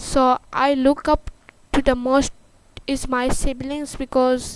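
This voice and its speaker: A woman with a high-pitched voice speaks very slowly. She has a non-native accent. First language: not English. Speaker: livestreamer. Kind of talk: casual chat. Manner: halting.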